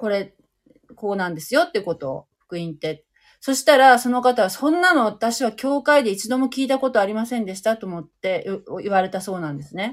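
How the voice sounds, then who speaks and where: A woman talks at a fairly quick pace in a fairly high voice, with very wide pitch swings and big swings in loudness. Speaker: livestream host. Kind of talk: casual chat. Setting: online live audio stream.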